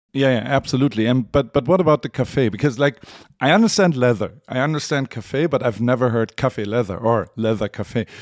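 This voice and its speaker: A man speaks at a fairly quick pace in a German accent, with a medium pitch and ordinary pitch variation. The sound is dry and close, with no echo. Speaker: podcast host. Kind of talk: interview. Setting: remote call.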